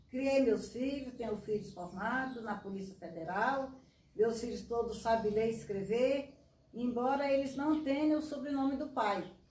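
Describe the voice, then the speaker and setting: The speaker talks fairly slowly. Audible room echo surrounds the voice. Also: woman, fairly high pitch for a woman, ordinary pitch variation. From Piauí, northeastern Brazil. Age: 90s. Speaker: veteran street runner. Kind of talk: interview.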